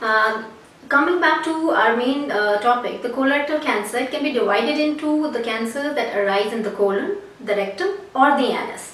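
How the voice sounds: A woman's fairly high voice at a moderate pace, with few pauses, ordinary pitch variation and audible room echo. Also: fairly bright tone.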